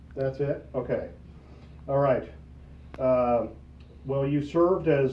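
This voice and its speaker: A man with a fairly high pitch and a somewhat breathy voice speaks at a fairly slow pace. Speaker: American Legion member. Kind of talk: interview questions.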